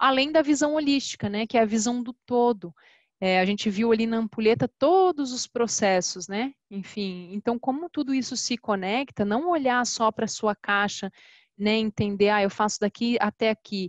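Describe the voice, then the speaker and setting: This is an ordinary speaking voice, with ordinary pitch variation and a moderate pace. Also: woman, fairly high pitch for a woman. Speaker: customer success specialist. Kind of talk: webinar presentation. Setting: online webinar.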